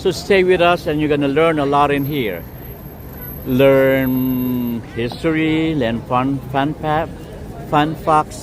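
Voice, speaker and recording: Amid noticeable background noise and audible room echo, a man with a fairly high pitch and ordinary pitch variation speaks at a very slow pace. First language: not English. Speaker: livestream walking tour host. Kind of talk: live walking vlog with chat shout-outs. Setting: outdoors on city streets. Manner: casual, halting with fillers.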